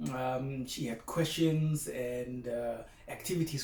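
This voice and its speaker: This man's voice is somewhat breathy, with a dark, mellow tone and ordinary pitch variation, heard against audible room echo. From South Africa, small Afrikaans-speaking town. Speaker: broadcast meteorologist, former teaching assistant. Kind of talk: keynote speech. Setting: video recording at home. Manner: casual, hesitant with fillers.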